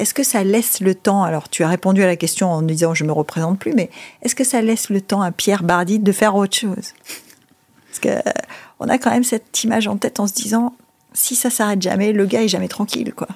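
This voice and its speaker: A woman's normal speaking voice at medium pitch, with ordinary pitch variation and a fairly quick pace. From Monaco. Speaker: podcast host. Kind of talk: interview.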